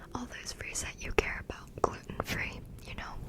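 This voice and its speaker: A fairly slow whisper against noticeable background noise. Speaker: college student. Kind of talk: ASMR whisper ramble. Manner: whispered; rambling, casual.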